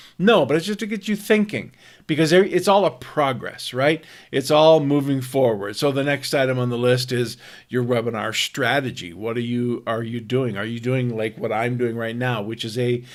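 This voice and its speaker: Talking at a moderate pace, a man with an American accent uses a medium pitch and lively intonation. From US Midwest, Minnesota (Twin Cities). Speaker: online marketing coach. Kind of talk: pre-recorded webinar. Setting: recorded face-to-face video. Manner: laid back; hesitant, many fillers and repetitions.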